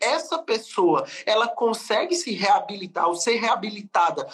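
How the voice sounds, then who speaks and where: With a strong northeastern Brazilian accent, the speaker goes at a fairly slow pace and swings very widely in pitch. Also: man. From Brazilian Northeast. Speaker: lawyer. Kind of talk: webinar lecture.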